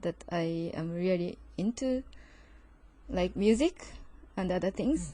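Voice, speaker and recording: A woman with a Japanese accent and ordinary pitch variation. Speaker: podcast co-host. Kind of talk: casual podcast conversation.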